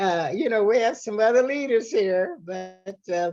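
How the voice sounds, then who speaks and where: With music in the background, the speaker talks in an American accent at a moderate pace with very wide pitch swings. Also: woman. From Tucson, Arizona. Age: 90s. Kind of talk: oral history interview.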